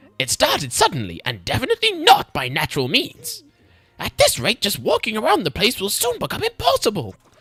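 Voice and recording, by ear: A man's put-on character voice, high in pitch. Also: dry, close sound with no echo.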